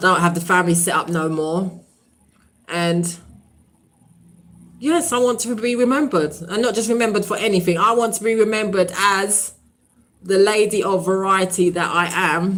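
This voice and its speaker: A woman with a British accent speaks at medium pitch and a moderate pace in an animated tone, with ordinary pitch variation. Her long pauses come often. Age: 40s. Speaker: YouTuber and diarist. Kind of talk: casual live stream chat. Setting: live stream.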